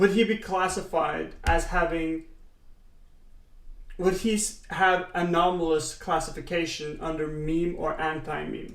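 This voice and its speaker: Speech comes at a fairly slow pace. It is delivered with a non-native accent. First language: not English. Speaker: reaction streamer. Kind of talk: casual reaction commentary. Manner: halting.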